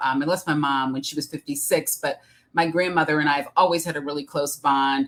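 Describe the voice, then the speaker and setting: A woman's very deep, low voice with a bright, sharp tone and a Midwestern accent. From Detroit, Michigan, US Midwest. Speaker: executive coach and author. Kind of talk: interview. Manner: hesitant, many fillers.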